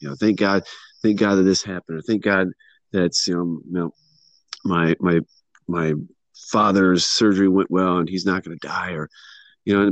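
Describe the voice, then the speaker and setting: A man speaks with a very deep, low pitch at a moderate pace, pausing long and often. The background is quiet, and the sound is dry and close with no echo. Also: fairly even intonation. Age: 40s. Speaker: former church member. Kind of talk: casual chat. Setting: phone call. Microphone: speakerphone.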